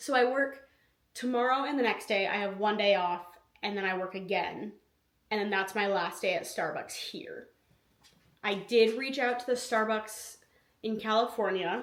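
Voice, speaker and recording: Long, frequent pauses break up a woman's speech, which has a fairly high pitch and ordinary pitch variation, with audible room echo. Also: moderate pace. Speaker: lifestyle vlogger. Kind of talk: casual vlog talk.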